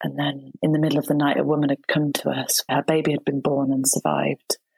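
A woman talks with a very deep, low pitch and vocal fry. Her pace is moderate. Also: dry, close sound with no echo. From Shropshire, England. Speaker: midwife and author. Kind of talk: interview conversation.

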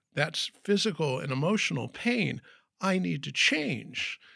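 A man's bright, sharp voice with vocal fry and very wide pitch swings, on a very clean recording with a silent background. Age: 60s. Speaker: professional speaker and wellness coach. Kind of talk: interview.

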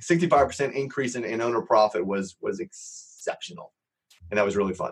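A man's ordinary speaking voice with an American accent, medium pitch, lively intonation, and a fairly quick pace. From Los Angeles, US. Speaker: real estate entrepreneur and software founder. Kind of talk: podcast interview.

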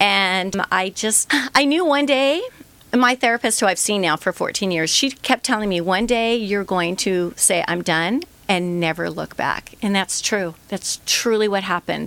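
A woman with an unremarkable speaking voice, medium pitch, lively intonation and a fairly slow pace. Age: 60s. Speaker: entrepreneur, product founder. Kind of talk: interview, personal story. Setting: radio studio.

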